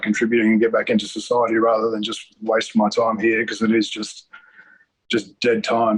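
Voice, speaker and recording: Here a man talks at a moderate pace. His pitch sits in the medium range. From Australia (New Zealand-born). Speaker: immigration detainee, hotel manager. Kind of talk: interview. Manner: halting, many fillers and repeats.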